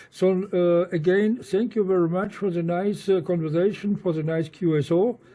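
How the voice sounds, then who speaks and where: A man with a German accent speaks at a high pitch and a moderate pace, with hardly any pauses. His intonation stays fairly even. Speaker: amateur radio operator. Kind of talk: radio contact conversation. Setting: satellite radio link. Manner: halting, many fillers.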